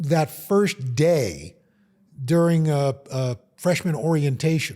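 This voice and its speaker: A man with an American accent speaks at a fairly high pitch in a dark, mellow tone, somewhat breathy. The recording is very clean with a silent background. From Queens, New York. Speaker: TV weather anchor. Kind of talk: interview answer. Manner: warm, funny.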